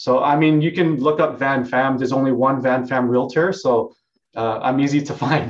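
A man with a plain, everyday voice speaks at a medium pitch and a moderate pace with fairly even intonation. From Vancouver, Canada (born in Hong Kong). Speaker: real estate agent. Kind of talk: casual interview.

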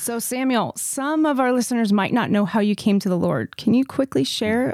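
With a plain, everyday voice, a woman talks at a moderate pace and ordinary pitch variation, the sound dry and close with no echo. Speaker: podcast co-host. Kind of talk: casual chat.

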